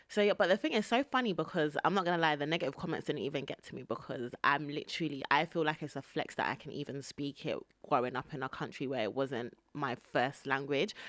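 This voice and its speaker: A woman's very deep, low voice with a London accent, animated and very fast, with ordinary pitch variation on a very clean recording over a silent background. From England, British-Nigerian. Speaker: podcast host. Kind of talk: casual chat.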